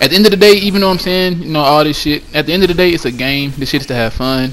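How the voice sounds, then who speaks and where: Against noticeable background noise, a man talks very fast in a fairly high pitch with ordinary pitch variation. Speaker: gaming community organizer. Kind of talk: casual vlog announcement. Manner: loud; animated.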